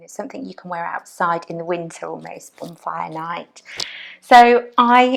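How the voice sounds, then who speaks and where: A woman delivers her words at a fairly slow pace. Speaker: crochet designer and workshop teacher. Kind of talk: casual podcast talk to camera. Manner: hesitant, mumbling.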